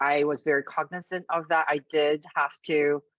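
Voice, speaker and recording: A woman with an American accent speaks at a fairly slow pace, her very deep, low pitch held in monotone, flat intonation. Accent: American Australian twang. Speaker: university staff panelist. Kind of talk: panel discussion.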